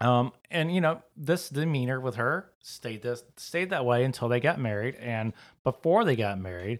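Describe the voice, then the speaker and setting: In a very clean recording with a silent background, a man speaks with a Southern US accent. His pace is moderate and his intonation lively. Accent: Southern US (Georgia). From US South, South Georgia. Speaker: podcast host. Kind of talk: casual chat.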